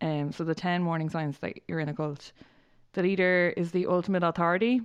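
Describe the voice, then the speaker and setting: A woman with an Irish accent, fairly low in pitch, monotone and flat, at a fairly quick pace over a quiet background. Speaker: podcast co-host. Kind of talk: casual chat.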